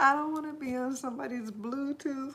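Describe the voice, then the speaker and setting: Over noticeable background noise, a woman speaks in a high pitch with an American accent. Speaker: livestreamer. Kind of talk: casual livestream chat. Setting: livestream.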